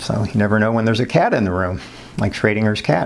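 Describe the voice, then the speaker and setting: Noticeable background noise sits behind a man with a fairly low pitch. He talks at a fairly quick pace with ordinary pitch variation. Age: 60s. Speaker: psychology professor. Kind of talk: lecture. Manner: casual, conversational with many fillers.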